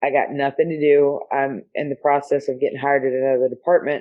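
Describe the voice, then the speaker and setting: A woman talks at a very fast pace with a Southern US accent. Her pitch is very deep and low. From US South. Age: 40s. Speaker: police officer. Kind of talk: casual chat.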